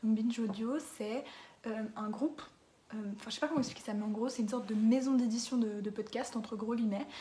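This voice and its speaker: Over noticeable background noise, a woman talks at a fairly quick pace in a fairly high voice with fairly even intonation. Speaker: podcast recommender, youtuber. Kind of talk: casual monologue to camera. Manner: hesitant, many fillers.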